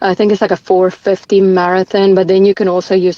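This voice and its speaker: Talking at a very fast pace, a woman with a South African accent keeps a medium pitch and a monotone, flat intonation. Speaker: ultramarathon runner. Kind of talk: podcast interview.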